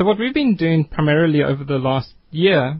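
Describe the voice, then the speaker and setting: A man with a fairly high pitch speaks at a moderate pace in a somewhat breathy voice. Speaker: education nonprofit co-founder. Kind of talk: radio interview. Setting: studio.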